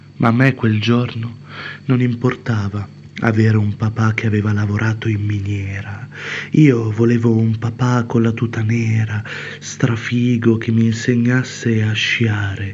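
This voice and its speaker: A man's medium-pitched, monotone voice at a fairly slow pace, with flat intonation and noticeable background noise. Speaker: poet. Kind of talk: poet spoken word, confessional poem.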